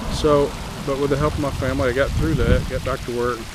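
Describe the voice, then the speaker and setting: A man speaking fairly quickly with fairly even intonation, amid noticeable background noise and audible room echo. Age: 60s. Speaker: drone videographer. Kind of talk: vlog testimony. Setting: outdoors. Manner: casual, halting with fillers. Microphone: no mic on, camera audio.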